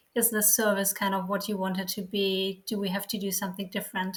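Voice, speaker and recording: Somewhat breathy and at a medium pitch, a woman speaks at a moderate pace on a very clean recording with a silent background. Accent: German. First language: German. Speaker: sociologist and church outreach worker. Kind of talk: interview. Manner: hesitant, many fillers.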